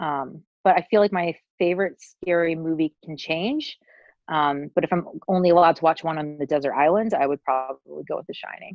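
A woman with an unremarkable speaking voice talks fairly quickly at a fairly low pitch, with ordinary pitch variation. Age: 30s. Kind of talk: casual interview chat.

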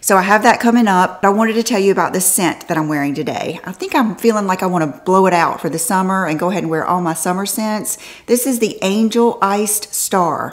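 Hardly any pauses break up this woman's very fast delivery. Her pitch variation is ordinary. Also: medium pitch for a woman. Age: 50s. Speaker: fashion and beauty vlogger; beauty vlogger. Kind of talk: casual haul video talk to camera. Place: home room.

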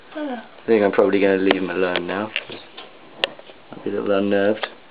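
Noticeable background noise surrounds a man who talks at a fairly quick pace. His loudness swings widely, and his pauses are long and frequent. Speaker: spider and reptile keeper. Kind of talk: casual commentary on pet video. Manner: rising intonation at end of sentences. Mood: calm, slightly nervous. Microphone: phone near.

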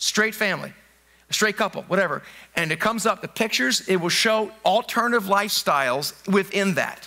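A man speaks in a raised, projected voice at a fairly quick pace. His tone is bright and sharp against a quiet background. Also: ordinary pitch variation. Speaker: pastor. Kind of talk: sermon. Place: church. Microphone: headset.

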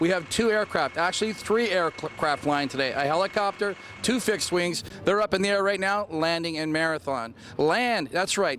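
Recorded dry with no echo but with light background noise, a man talks in a high voice for a man with ordinary pitch variation. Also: moderate pace. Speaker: TV show host. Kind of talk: on-location TV host intro. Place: waterside. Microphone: handheld.

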